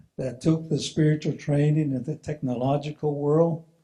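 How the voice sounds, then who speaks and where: At a moderate pace, a man with a fairly high pitch speaks in a dark, mellow, somewhat breathy tone. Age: 70s. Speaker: retired engineer and spiritual presenter. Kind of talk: presentation with storytelling. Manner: halting, repeating words.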